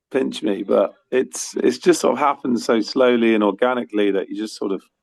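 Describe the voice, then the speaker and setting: A man speaks at a fairly quick pace in an English accent. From UK. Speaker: musician. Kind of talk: interview. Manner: halting, many fillers.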